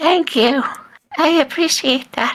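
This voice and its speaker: A woman puts on a squeaky character voice. Her pitch sits high. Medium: actual play. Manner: polite, unhurried.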